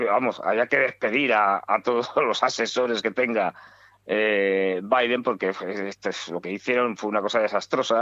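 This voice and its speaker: A man speaking at a fairly slow pace over a quiet background. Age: 60s. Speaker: political commentator. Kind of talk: radio talk show discussion. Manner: halting, many fillers.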